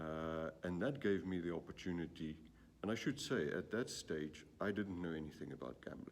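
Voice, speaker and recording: A man with a South African accent, very deep and low in pitch, at a moderate pace. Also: lively intonation. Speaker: gambling industry executive. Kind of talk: interview. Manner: hesitant, many fillers.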